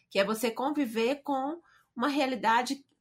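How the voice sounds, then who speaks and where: In a very clean recording with a silent background, a woman with a high pitch speaks at a fairly slow pace with lively intonation. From Brazil, Belo Horizonte. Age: 50s. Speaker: writer and speaker. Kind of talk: interview testimony.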